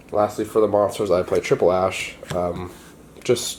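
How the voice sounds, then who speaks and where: A man talks at a moderate pace, with noticeable noise in the background. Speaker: card game player. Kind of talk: casual talk to camera, deck profile. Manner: casual, upbeat.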